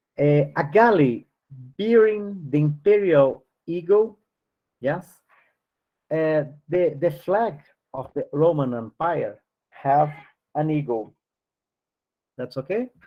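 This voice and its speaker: The speaker has a non-native accent and lively intonation. The pace is very slow, with long, frequent pauses. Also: man, fairly high pitch for a man. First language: not English. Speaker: spiritist study group teacher. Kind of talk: study class, reading aloud with commentary. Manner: halting, many fillers.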